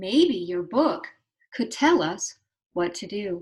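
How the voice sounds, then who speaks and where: A woman uses a put-on character voice at a medium pitch. Her pace is very slow. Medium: read story.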